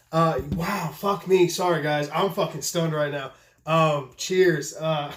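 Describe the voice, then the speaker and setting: A man with a fairly high pitch and an excited tone at a fairly slow pace, against noticeable background noise. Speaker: knife maker and video host. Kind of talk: casual vlog talk. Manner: stuttering, halting; excited, profane.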